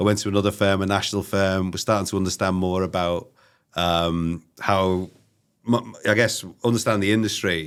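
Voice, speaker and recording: A man's very deep, low voice with a Liverpool accent, monotone and flat in intonation, at a moderate pace. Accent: Scouse. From northern England, Liverpool. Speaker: recruitment company CEO. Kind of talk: interview. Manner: halting, many fillers; casual.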